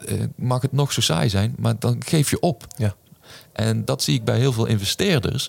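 A man's plain, everyday voice at medium pitch, moderate pace and lively intonation. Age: 40s. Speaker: business coach and author. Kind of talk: podcast interview.

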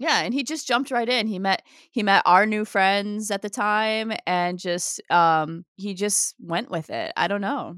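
A woman with an ordinary speaking voice and medium pitch talks at a fairly slow pace with hardly any pauses and ordinary pitch variation. The recording is very clean with a silent background and has a dry, close sound with no echo. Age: 40s. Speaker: podcast co-host. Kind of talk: casual chat.

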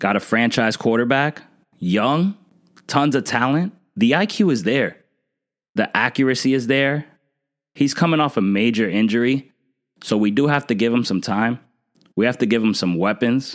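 An animated man with an American accent, medium pitch, lively intonation, a moderate pace and long, frequent pauses, on a very clean recording with a silent background. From New Jersey. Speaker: sports podcast host. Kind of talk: solo podcast monologue.

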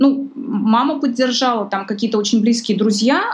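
A woman's voice with ordinary pitch variation. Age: 30s. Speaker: psychologist. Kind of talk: casual chat. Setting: live stream.

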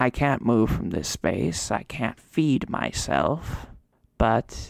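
A woman's put-on character voice, very deep and low, with a weary tone and a very slow pace. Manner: weary, frail, slowly pleading.

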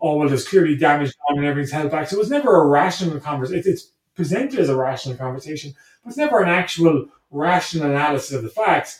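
A man with a Cork accent talks at a very fast pace. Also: fairly high pitch for a man, ordinary pitch variation. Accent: Cork Irish. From Ireland, Blarney, County Cork. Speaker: history professor. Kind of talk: interview conversation. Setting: call. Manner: halting, many fillers and repetitions.

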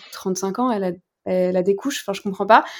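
In a normal speaking voice, a woman at medium pitch talks at a fairly quick pace with ordinary pitch variation. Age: 20s. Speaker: founder of a lingerie brand. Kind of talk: interview.

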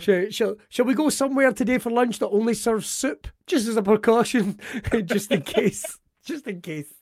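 A man with an Ayrshire accent talks at a moderate pace in a high pitch, his loudness swinging widely. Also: ordinary pitch variation. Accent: Scottish, Ayrshire. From Ayrshire, Scotland. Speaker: podcast host. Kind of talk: casual chat, interview. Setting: video call, remote recording. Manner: joking, animated.

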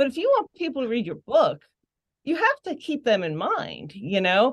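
A woman speaks with a Western Pennsylvania accent. Her voice has vocal fry. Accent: Western Pennsylvania American. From Pittsburgh area, Pennsylvania. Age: 50s. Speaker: novelist. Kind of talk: casual chat.

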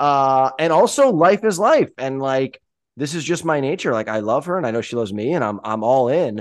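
Over a quiet background, a man with a normal speaking voice talks at a moderate pace and medium pitch, his intonation lively. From US Northeast. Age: 30s. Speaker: podcast host. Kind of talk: casual chat.

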